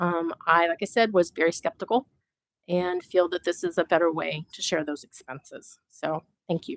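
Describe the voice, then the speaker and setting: In an Upper Midwest accent, the speaker moves at a moderate pace with ordinary pitch variation, the sound dry and close with no echo. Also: woman, fairly low pitch for a woman. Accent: Upper Midwest American. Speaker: citizen committee member. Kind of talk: public meeting remarks. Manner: loud.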